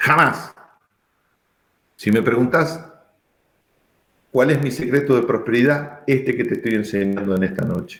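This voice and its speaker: With audible room echo around him, a man speaks in a medium pitch with ordinary pitch variation, keeping a fairly slow pace and taking long, frequent pauses. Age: 60s. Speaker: pastor. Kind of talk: sermon. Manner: emphatic.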